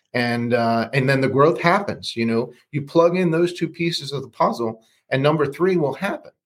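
With ordinary pitch variation and a fairly high pitch, a man moves at a moderate pace in an ordinary speaking voice. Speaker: loan officer. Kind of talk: casual interview chat.

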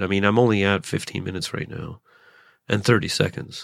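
A man with a Canadian accent speaks at a very fast pace. The recording is very clean, with a silent background. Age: 30s. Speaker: stand-up comedian. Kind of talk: solo podcast monologue. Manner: fast talker; halting.

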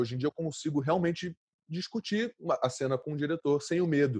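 Against a quiet background, a man speaks with a dark, mellow tone and lively intonation. His pitch is fairly high. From Brazil, Rio de Janeiro (Santa Marta favela). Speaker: actor. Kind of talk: interview. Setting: at home during quarantine.

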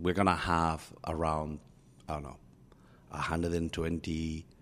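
In a Spanish accent, a man speaks with a very deep, low pitch. His pace is moderate and his intonation monotone and flat. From Spain. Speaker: company chief executive. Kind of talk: interview conversation.

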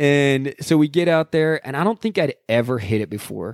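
A man speaks with a dark, mellow tone and lively intonation. The sound is dry and close, with no echo. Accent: American. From Salt Lake City, Utah. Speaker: landscape and action photographer. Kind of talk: casual chat.

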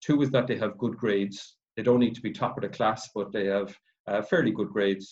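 Fairly quick speech from a man with a Cork accent, fairly low in pitch, with fairly even intonation. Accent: Irish (Cork). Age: 40s. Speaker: accountant. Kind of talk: presentation. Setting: video call.

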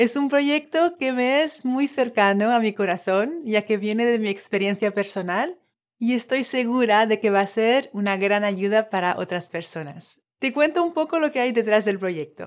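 The woman talks at a fairly slow rate in a very clean recording where the background is silent. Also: fairly high pitch for a woman, lively intonation, hardly any pauses. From Tahiti. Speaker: life coach and podcast host. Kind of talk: personal storytelling monologue.

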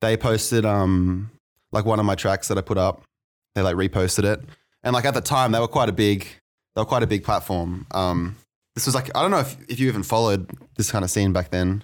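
A man with an Australian accent speaks at a fairly quick pace in a fairly low pitch with ordinary pitch variation and very even loudness, on a very clean recording with a silent background. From Australia, New South Wales (Maitland). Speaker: electronic music producer and DJ. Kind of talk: interview, casual chat. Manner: halting, many fillers and repeats.

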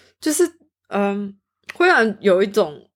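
At a moderate pace, a woman of medium pitch speaks with very wide pitch swings. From Taiwan. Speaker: student. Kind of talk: casual chat.

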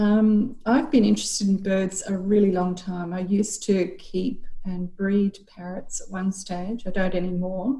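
A woman speaks with an Australian accent at a fairly slow pace, hardly pausing at all. Her medium-pitched voice is dark, mellow and somewhat breathy, with fairly even intonation. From Queensland, Australia. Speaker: university staff and amateur bird photographer. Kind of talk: interview.

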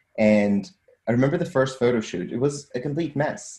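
A man with a Portuguese accent, somewhat breathy with a dark, mellow tone, with lively intonation at a fairly quick pace. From Portugal, Lisbon. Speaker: data scientist. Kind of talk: interview.

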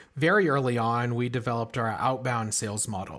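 Speaking with an American accent, a man holds his voice at a medium pitch. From US West Coast, Silicon Valley. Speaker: startup CEO and co-founder. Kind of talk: interview. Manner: halting, repeats words.

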